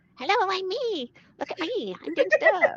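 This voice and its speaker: Delivered at a moderate pace, a put-on character voice sits at an extremely high pitch with very wide pitch swings. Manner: silly, cringey, self-promoting.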